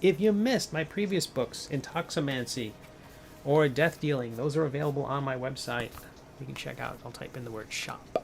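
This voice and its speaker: Against music in the background, a man with an American accent speaks at a moderate pace and fairly high pitch, with ordinary pitch variation and big swings in loudness. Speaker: comic artist and game designer streaming a sculpt. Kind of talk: casual livestream chat while sculpting.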